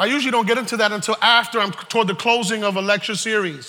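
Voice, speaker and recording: Raised and projected over noticeable background noise, a man with an American accent speaks at a high pitch and fairly quick pace, passionate and animated, with ordinary pitch variation. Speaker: preacher. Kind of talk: sermon to a live congregation. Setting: church. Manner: animated, call-and-response, urging the crowd to say amen; passionate, emphatic, preaching with rising intensity.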